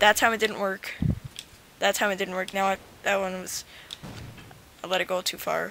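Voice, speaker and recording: Over noticeable background noise, a woman speaks at medium pitch and a moderate pace in a monotone, flat intonation, with long, frequent pauses. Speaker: gaming youtuber. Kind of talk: tutorial. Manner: stuttering, halting; casual, filler-heavy.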